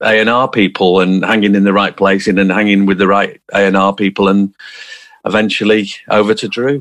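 This man's fairly low voice moves along at a moderate pace. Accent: Manchester. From South Manchester, England. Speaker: musician. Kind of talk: interview. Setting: video call.

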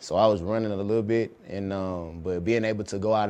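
Speaking with a Southern US accent, a man has a fairly low pitch and a dark, mellow tone. His intonation is monotone and flat at a moderate pace. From Alabama, Dothan. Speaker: pro football player. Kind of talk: interview.

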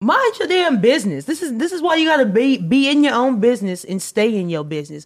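Very fast and with hardly any pauses, a woman speaks at a high pitch with very wide pitch swings. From US West Coast. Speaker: podcast co-host. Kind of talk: casual chat.

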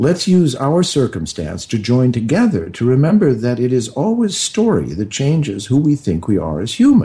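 A man talks at a moderate pace with a medium pitch and a dark, mellow, somewhat breathy tone. His pitch swings very widely, and he hardly pauses. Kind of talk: thoughtful radio interview, reflective talk. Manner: measured, earnest, philosophical.

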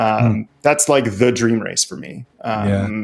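Speaking at a very slow pace, a man keeps a medium pitch. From Belgium. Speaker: amateur racing driver and sim racer. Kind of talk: interview.

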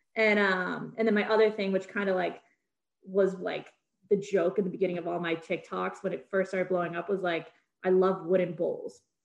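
A woman's medium-pitched voice with an American accent, fairly quick in pace, monotone and flat in intonation. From Massachusetts, greater Boston area. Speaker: antiques content creator. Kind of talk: casual chat.

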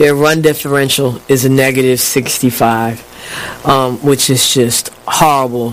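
The delivery is fairly slow. Noticeable background noise can be heard. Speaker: sports commentator. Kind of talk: casual sports banter.

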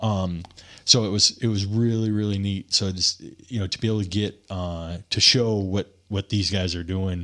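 A man with an American accent, a normal speaking voice, fairly low pitch, fairly even intonation and a moderate pace. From Michigan, small town. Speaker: energy company co-founder and dirt bike rider. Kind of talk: casual chat. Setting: studio.

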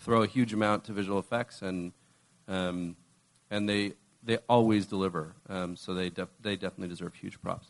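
Against a quiet background, a man with a fairly low pitch uses an ordinary speaking voice and fairly even intonation. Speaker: executive producer. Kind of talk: casual panel interview.

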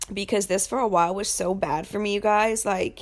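On a very clean recording with a silent background, a woman with an unremarkable speaking voice talks at a moderate pace, at medium pitch, with fairly even intonation. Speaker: confidence coach and podcast host. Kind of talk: casual solo podcast monologue.

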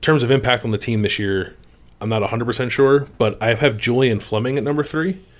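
Big swings in loudness run through a man's medium-pitched voice. He moves at a fairly quick pace with ordinary pitch variation. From Philadelphia area. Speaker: sports podcast host. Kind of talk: casual chat.

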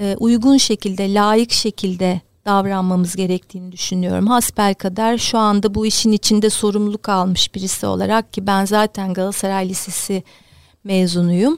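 Here a woman speaks at a moderate pace in a plain, everyday voice. The sound is dry and close, with no echo. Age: 50s. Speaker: basketball club director, former player. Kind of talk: interview.

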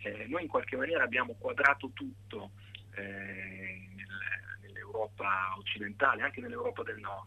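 A man's fairly low voice at a moderate pace, with big swings in loudness. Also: ordinary pitch variation. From Italy, Pesaro (Marche). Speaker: pianist and composer. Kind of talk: interview. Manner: halting.

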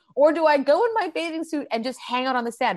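A woman with a Manitoban accent in an energetic tone at a very fast pace. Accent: Canadian (Manitoba). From Canada, Winnipeg. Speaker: comedian and actor. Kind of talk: casual interview chat.

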